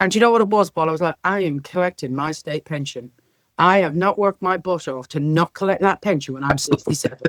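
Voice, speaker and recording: A woman with a Northern Irish accent at a very fast pace, fairly low in pitch with ordinary pitch variation, in a dry, close sound with no echo. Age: 50s. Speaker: care sector leader. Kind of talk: interview. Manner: animated.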